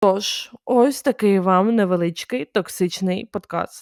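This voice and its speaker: In a very clean recording with a silent background and a dry, close sound with no echo, a woman speaks at a medium pitch with ordinary variation. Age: 20s. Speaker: podcast host. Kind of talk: casual monologue. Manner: animated.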